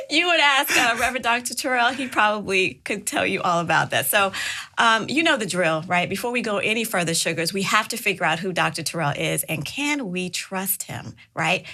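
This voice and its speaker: Through noticeable background noise, a woman talks at a fairly quick pace with hardly any pauses and very wide pitch swings. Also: medium pitch for a woman. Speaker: podcast host. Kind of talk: podcast interview host.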